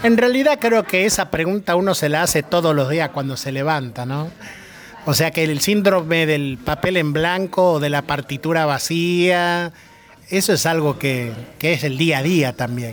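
Fairly slow speech from a man with a fairly high pitch and ordinary pitch variation, music in the background. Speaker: radio host. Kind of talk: interview. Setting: bar.

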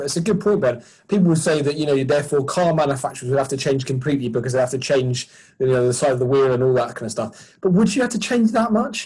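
A somewhat breathy man with a southern English accent talks at a very fast pace in a fairly high pitch with lively intonation. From Sussex, southern England. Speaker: sports ministry charity worker. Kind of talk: casual chat.

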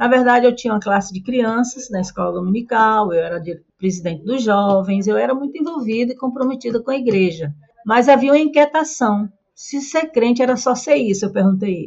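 Lively intonation and a fairly quick pace mark this voice with a northeastern Brazilian accent. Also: woman, fairly high pitch for a woman. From Brazilian Northeast. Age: old. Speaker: retired pastor. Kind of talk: interview.

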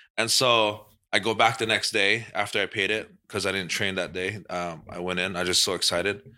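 Recorded very cleanly against a silent background, a man speaks at a fairly quick pace in a fairly low pitch, with a bright, sharp tone and monotone, flat intonation. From Hawaii, Waianae. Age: 30s. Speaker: MMA fighter and coach. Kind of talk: casual chat.

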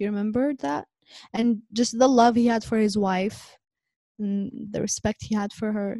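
Somewhat breathy, a woman with an Arabic accent speaks at a fairly high pitch in a dark, mellow tone.

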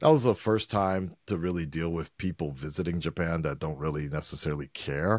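On a very clean recording with a silent background, a voice with a Southern Californian accent moves at a moderate pace with ordinary pitch variation. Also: man. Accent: Southern California American. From Los Angeles, North Hollywood. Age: 40s. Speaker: YouTube reaction creator. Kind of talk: casual chat.

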